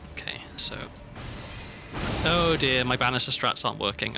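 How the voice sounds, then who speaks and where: Whispering with a slight Welsh accent, a man takes long, frequent pauses while music plays in the background. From South Wales. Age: 30s. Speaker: streamer. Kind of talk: gaming livestream chat. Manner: hesitant, many fillers.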